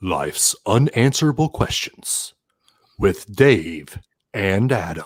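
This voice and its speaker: A man puts on a character voice and talks at a fairly slow pace. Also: medium pitch for a man. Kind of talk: announcer, smooth.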